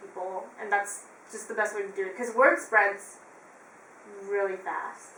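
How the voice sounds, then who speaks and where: With a West Coast Canadian accent, a woman speaks over noticeable background noise in a room with audible echo. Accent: West Coast Canadian, laid back. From western Canada, Vancouver area. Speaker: musician, flutist. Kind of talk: casual chat. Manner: laid back.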